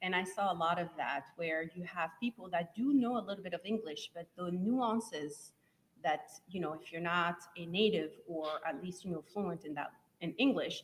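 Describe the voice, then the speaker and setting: Moderate pace, ordinary pitch variation and a French accent. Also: woman, fairly low pitch for a woman. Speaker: software testing trainer. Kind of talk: live event interview.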